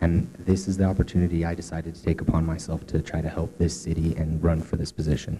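A man with a very deep, low pitch talks very fast in a monotone, flat intonation, with hardly any pauses and big swings in loudness. Noticeable background noise runs behind him. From Cortez, Colorado. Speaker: city council candidate. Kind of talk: candidate forum statement.

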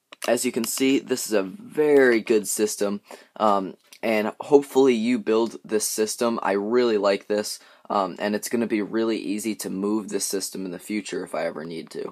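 Against a quiet background, a man with an unremarkable speaking voice talks at a moderate pace and a fairly low pitch, his pitch varying in an ordinary way. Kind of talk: tutorial. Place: workshop. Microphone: phone near.

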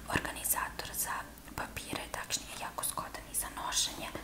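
The voice is soft-spoken. It comes from a woman who is whispering. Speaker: ASMR creator. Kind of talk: soft ASMR show-and-tell. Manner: soft close ASMR whisper. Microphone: phone near.

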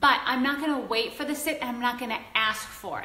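At a fairly quick pace, a woman talks in a high voice, with audible room echo around her. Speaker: dog trainer. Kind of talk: instructional, video tutorial. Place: home room. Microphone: phone near.

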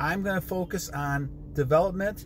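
A man speaks in an animated tone at a moderate pace, with light background noise. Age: 60s. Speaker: motivational vlogger. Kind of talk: motivational monologue. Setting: in a car. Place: car. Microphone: phone near.

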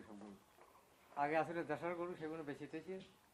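A man speaks with fairly high pitch. He has an ordinary speaking voice. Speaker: dairy farmer. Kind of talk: interview.

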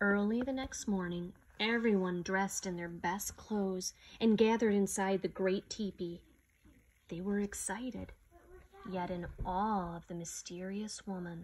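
Against light background noise, a woman with a medium-pitched voice speaks at a fairly slow pace with fairly even intonation. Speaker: storyteller reading a picture book aloud. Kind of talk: slow, solemn reading aloud of a legend, with a hushed, reverent storybook tone. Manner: measured and dramatic, pausing for effect. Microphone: phone near.

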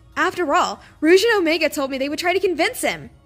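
Music runs in the background. Over it, a woman talks at a moderate pace.

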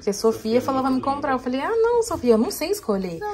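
A woman's voice against loud background noise. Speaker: vlogger and mother; vlogger. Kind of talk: casual vlog talk. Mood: relaxed, just woke up. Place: home room. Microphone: phone near.

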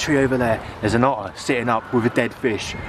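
Background noise is noticeable behind a man. He talks fairly quickly, and the sound is dry with no echo. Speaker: wildlife vlogger. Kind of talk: casual vlog chat. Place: waterside. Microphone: phone near.

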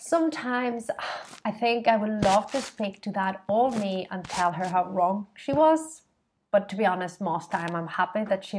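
At a moderate pace, a woman speaks in a somewhat breathy voice over light background noise. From Spain. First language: Spanish. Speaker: feminist shop co-founder; vlogger. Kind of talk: vlog monologue to camera. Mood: reflective, earnest. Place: home room. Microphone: webcam.

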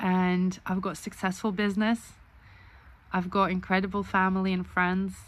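A woman speaks at a moderate pace. Her intonation is monotone and flat. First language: not English. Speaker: author and vlogger. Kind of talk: casual video blog monologue. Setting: self-recorded video. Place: home room. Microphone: phone near.

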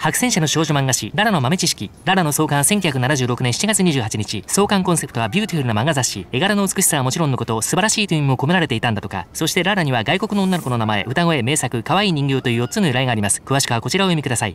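Noticeable background noise sits under a man talking at a very fast pace with hardly any pauses. His fairly high voice moves in very wide pitch swings. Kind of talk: TV commercial read. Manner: energetic, passionate.

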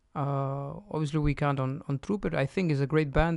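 A man speaks with a Spanish accent at a fairly slow pace. The sound is dry with no echo over a quiet background. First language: Spanish (speaking Romanian). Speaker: guest. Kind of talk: interview. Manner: halting. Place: studio. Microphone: studio mic.

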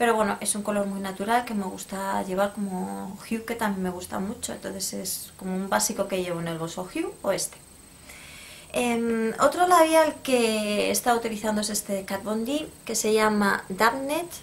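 A woman speaks with a Spanish accent. Her pace is moderate and her pitch variation ordinary. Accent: Peninsular Spanish. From Spain. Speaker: beauty YouTuber. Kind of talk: product review vlog. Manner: casual, hesitant. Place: home room. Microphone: phone near.

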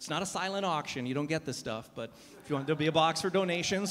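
Ordinary pitch variation marks this man's voice as he talks at a very fast pace. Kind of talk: announcements to a congregation. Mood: jokey, upbeat. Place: church. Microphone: handheld.

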